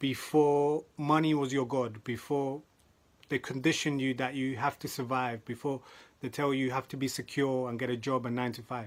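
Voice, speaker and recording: A man with a London accent talks at a medium pitch and a moderate pace in monotone, flat intonation, on a very clean recording with a silent background. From South London. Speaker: motivational speaker. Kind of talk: motivational talk.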